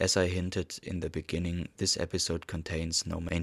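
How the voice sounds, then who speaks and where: A man with a non-native accent speaks in a very deep, low pitch at a moderate pace, his intonation flat and monotone. The recording is very clean with a silent background and a dry, close sound with no echo. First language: not English. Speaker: podcast host. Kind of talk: monologue commentary. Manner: formal.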